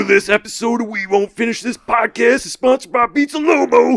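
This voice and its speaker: A put-on character voice sits at a fairly high pitch. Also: fairly quick pace. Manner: dramatic, suave, menacing.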